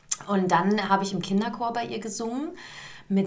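Noticeable background noise and audible room echo around a medium-pitched female voice. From Hesse, Germany (Gießen). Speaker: musical theatre performer. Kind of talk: casual interview. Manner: hesitant, many fillers.

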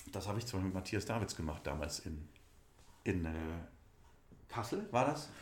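A man talks with vocal fry. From Saarland, Germany (Saarlouis district). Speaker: musical theatre actor. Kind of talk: casual interview.

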